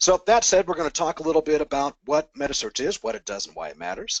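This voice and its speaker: A man talks at a very fast pace with vocal fry, the sound dry and close with no echo. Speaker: sales operations manager presenting a webinar. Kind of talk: webinar presentation. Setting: online webinar.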